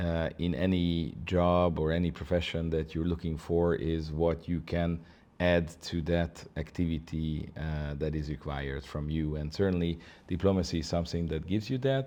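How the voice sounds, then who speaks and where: A man speaks at a moderate pace with a very deep, low pitch. His tone is dark and mellow, with fairly even intonation. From Hungary. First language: Hungarian. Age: 50s. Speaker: ambassador. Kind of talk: interview. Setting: embassy office. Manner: halting, many fillers.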